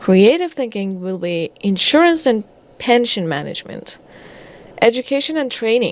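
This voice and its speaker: A woman with a non-native accent speaks at a fairly high pitch. Her voice makes very wide pitch swings. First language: not English. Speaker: data/career content creator. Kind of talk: casual commentary reading through a report. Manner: halting, self-correcting.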